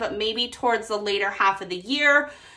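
The voice has a bright, sharp tone, ordinary pitch variation and a moderate pace. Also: woman. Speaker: budgeting creator. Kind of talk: casual vlog chat. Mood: upbeat, friendly. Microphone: phone near.

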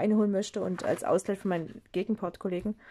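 The voice has a dark, mellow tone and fairly even intonation. The background is quiet. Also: woman. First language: not German (speaking German). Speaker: craft video creator. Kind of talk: tutorial. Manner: halting. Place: home room. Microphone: phone near.

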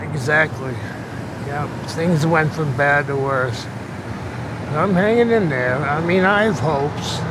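Long, frequent pauses at a fairly slow pace, with a dry, echo-free sound and noticeable background noise. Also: man. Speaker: homeless man. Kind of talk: interview answer. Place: street.

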